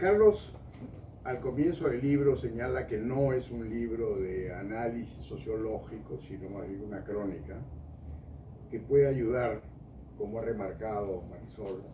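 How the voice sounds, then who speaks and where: In a room with audible echo and noticeable background noise, a man talks at a fairly slow pace with lively intonation. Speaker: book presentation panelist. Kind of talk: speech at a book launch. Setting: bookshop event with live audience.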